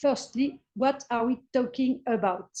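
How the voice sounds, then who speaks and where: A woman with a French accent speaks at a fairly slow pace. Her high-pitched voice has a dark, mellow tone and fairly even intonation. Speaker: history professor. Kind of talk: lecture. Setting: video call. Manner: halting.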